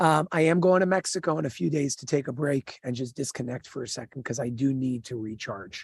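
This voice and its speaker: A man's energetic, fairly quick delivery at medium pitch, somewhat breathy, with lively intonation, big swings in loudness, hardly any pauses, and a dry, close sound with no echo. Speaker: livestream host. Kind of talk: casual chat.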